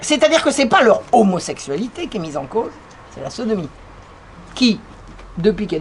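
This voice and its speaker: With an animated tone and very wide pitch swings, a woman talks at a fairly quick pace. Her pitch is fairly high, and there is noticeable background noise. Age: 60s. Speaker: author and lecturer. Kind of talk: lecture.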